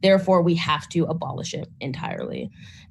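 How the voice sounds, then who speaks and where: A somewhat breathy woman at a fairly low pitch, with ordinary pitch variation and a moderate pace. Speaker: grassroots organizer, panelist. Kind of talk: panel talk.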